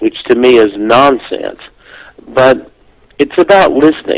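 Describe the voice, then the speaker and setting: A man with a Southern US accent speaks at a medium pitch and a fairly slow pace, with ordinary pitch variation. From US South, South Carolina. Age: 60s. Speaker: near-death experience author and speaker. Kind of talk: interview.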